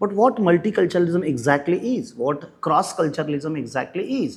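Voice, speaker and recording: This man talks at a fairly quick pace in a Marathi accent. His pitch is high and swings very widely. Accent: Indian English, Marathi. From India, Maharashtra. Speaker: English professor. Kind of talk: lecture.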